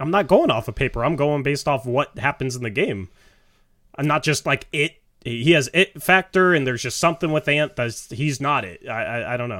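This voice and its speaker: This man has a plain, everyday voice with fairly high pitch and ordinary pitch variation, talking at a fairly quick pace on a very clean recording with a silent background. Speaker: podcast co-host. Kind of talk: casual sports talk podcast.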